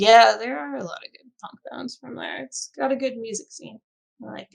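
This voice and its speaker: Speaking with an American accent at a moderate pace, a woman shows big swings in loudness, in a dry, close sound with no echo. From Chicago area, US Midwest. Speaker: film and video game composer. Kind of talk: casual podcast interview.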